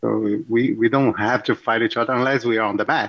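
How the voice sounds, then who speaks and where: A man speaks with a Portuguese accent. His pitch is medium and his pace is moderate. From Brazil, Rio de Janeiro. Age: 40s. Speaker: jiu-jitsu instructor. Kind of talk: radio interview.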